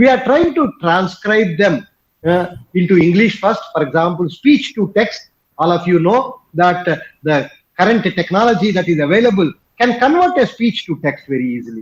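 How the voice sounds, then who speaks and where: Lively intonation in a Telugu accent. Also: man, high pitch for a man, moderate pace. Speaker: professor and institute director. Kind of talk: conference talk. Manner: hesitant, frequent fillers.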